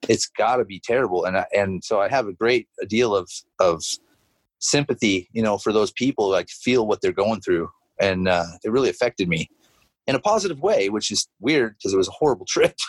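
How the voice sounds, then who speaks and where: The man talks at a fairly quick pace. The sound is dry and close, with no echo. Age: 40s. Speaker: musician. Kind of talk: casual chat.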